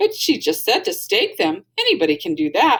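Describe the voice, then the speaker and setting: A woman speaks in a put-on character voice. Her pitch is high and her pace moderate. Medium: read story. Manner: cheerful, earnest.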